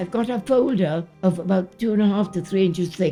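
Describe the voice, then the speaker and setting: A woman with a British accent speaks at a moderate pace in a medium pitch. Her pitch variation is ordinary, and music plays in the background. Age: 80s+. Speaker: war veteran. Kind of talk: personal testimony to camera.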